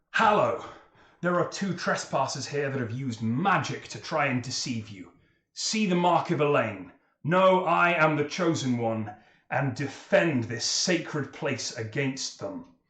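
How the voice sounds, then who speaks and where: Shouting in a put-on character voice, a man sounds fairly high in pitch with lively intonation. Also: moderate pace. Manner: shouting, commanding.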